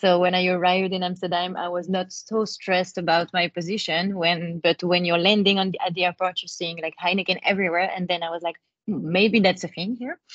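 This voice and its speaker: A woman with a French accent and medium pitch talks at a fairly quick pace in a monotone, flat delivery with hardly any pauses. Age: 20s. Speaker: advertising account director. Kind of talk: webinar talk. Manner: hesitant, many fillers.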